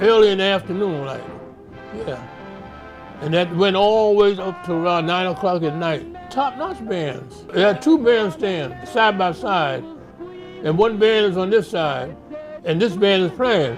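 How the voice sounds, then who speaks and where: With music in the background, a man speaks at a high pitch with lively intonation and long, frequent pauses. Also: fairly slow pace. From Harlem, New York City. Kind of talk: oral history interview answer.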